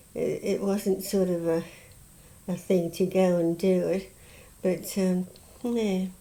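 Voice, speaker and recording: With a southern English accent, a woman speaks very slowly in a dark, mellow tone at medium pitch, her intonation monotone and flat, with long, frequent pauses. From Southern England. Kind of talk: interview answer. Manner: hesitant, halting.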